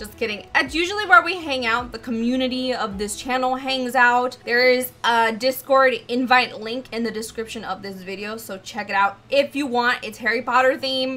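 A woman with an animated tone speaks at a moderate pace in a high pitch with ordinary pitch variation. She takes hardly any pauses, and her loudness swings widely. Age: 20s. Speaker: gaming YouTuber and streamer. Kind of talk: casual Q&A video. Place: home room.

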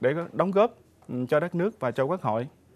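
The intonation here is lively. A man delivers it at a moderate pace. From Trà Vinh, Mekong Delta, Vietnam; Vietnam. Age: 30s. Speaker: parliamentary candidate, arts association official; candidate. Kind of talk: campaign speech. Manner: formal. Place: studio.

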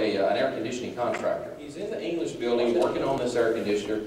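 A man's voice amid light background noise, with room echo clearly audible. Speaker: country humorist and ventriloquist. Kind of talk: stand-up comedy storytelling. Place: church.

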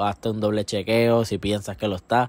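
Recorded with a dry sound and no echo, a man talks at a moderate pace. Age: 20s. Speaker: gaming youtuber. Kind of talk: casual vlog. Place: home room. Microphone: handheld.

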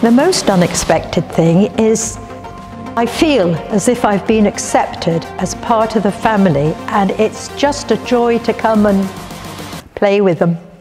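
A woman's medium-pitched voice at a fairly slow pace, with ordinary pitch variation and clear music in the background. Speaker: hip hop dancer. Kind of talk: interview answer. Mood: warm, delighted. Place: hall.

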